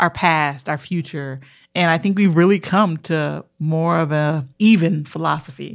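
Very deep, low pitch from a woman, fairly even intonation, very clean recording with a silent background. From Minneapolis, Minnesota. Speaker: podcast co-host. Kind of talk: casual chat.

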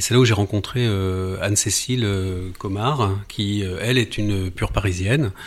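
This man has a fairly low pitch and fairly even intonation. He talks at a fairly slow pace with hardly any pauses. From southern France, near Nice. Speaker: architect. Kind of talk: interview. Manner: halting.

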